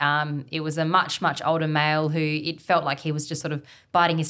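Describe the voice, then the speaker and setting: A woman's very deep, low voice with a bright, sharp tone and an Australian accent, in a very clean recording with a silent background. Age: 20s. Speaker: outdoor guide and business founder. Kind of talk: casual interview chat. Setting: evening recording.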